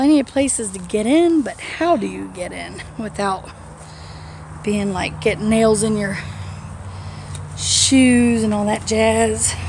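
A woman at a very slow pace with long, frequent pauses, over light background noise. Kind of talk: casual vlog chat. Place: open country. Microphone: phone near.

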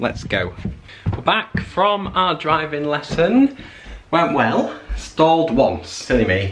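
Over light background noise, a man with a Mancunian accent speaks very slowly, his fairly high pitch making very wide swings. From Manchester, UK. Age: young. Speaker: student vlogger. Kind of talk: casual vlog talk to camera. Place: home room. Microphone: phone near.

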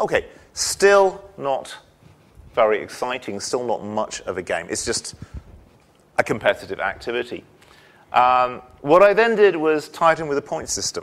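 A man with a fairly high pitch swings his voice very widely, leaving long, frequent pauses. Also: moderate pace. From England, Shropshire; England. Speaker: university English instructor. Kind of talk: lecture. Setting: lecture hall with audience. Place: hall.

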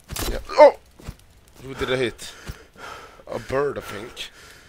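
Background noise is clearly audible. Through it, a man talks. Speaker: gaming video creator. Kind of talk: casual gameplay commentary.

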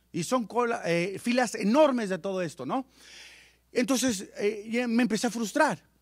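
At a fairly slow pace, a man speaks at an extremely high pitch with lively intonation and an animated tone. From Mexicali, Baja California, Mexico. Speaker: business presenter. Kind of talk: sales pitch. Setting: stage with audience.

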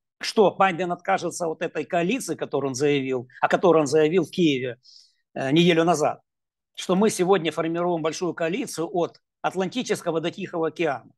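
Over a quiet background, a man with a high pitch talks at a fairly quick pace with ordinary pitch variation. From Ukraine. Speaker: political analyst. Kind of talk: interview. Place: home room. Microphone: earbuds.

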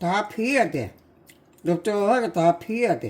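Lively intonation marks a woman's medium-pitched voice, delivered at a very slow pace. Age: 80s+. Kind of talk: casual cooking talk at home.

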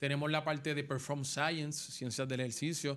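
At a moderate pace, a man talks in a flat, monotone way. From Puerto Rico, Las Piedras; Puerto Rico. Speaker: former baseball player, coach; coach. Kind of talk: interview. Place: studio. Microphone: studio mic.

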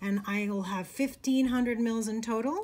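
A woman's voice is somewhat breathy, with fairly even intonation. She talks at a fairly slow pace. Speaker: instructor. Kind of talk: tutorial. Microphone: phone near.

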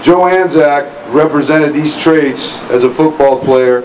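Against noticeable background noise, a man speaks with ordinary pitch variation. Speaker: former football coach giving a tribute. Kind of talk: memorial speech. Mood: solemn, emotional. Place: street. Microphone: podium.

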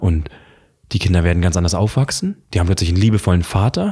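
A man talks at a very fast pace with a very deep, low pitch and ordinary pitch variation. His voice is dark, mellow and somewhat breathy against a quiet background. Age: 20s. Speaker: coach; interview guest. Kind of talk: casual chat. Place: home room. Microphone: studio mic.

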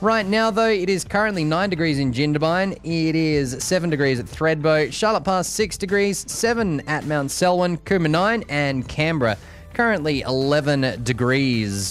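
A man's fairly high-pitched voice with lively intonation, moderate pace, very even loudness and hardly any pauses, dry with no echo, over faint background music. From Australia. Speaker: radio announcer. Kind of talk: radio weather forecast and breakfast show presenting. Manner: conversational, informal. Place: studio.

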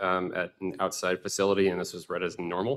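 Very deep, low pitch from a man with an American accent, monotone and flat in intonation, against a quiet background. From US Southwest. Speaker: spine surgery fellow. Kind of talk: case presentation. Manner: halting, many fillers. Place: hall.

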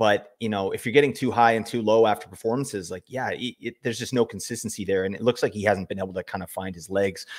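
The surroundings are quiet. A man rattles along at a very fast pace. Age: 40s. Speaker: fantasy hockey podcast host. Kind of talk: casual chat. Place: home room. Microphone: studio mic.

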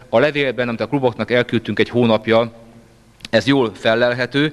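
The man talks at a moderate pace. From Hungary. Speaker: session chair at a club meeting. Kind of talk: formal speech to a meeting. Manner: formal. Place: meeting room. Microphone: handheld.

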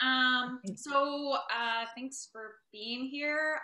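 A woman's voice comes through audible room echo with music playing in the background. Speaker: political science lecturer. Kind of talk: lecture. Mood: relaxed, slightly self-deprecating. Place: home room. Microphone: video call.

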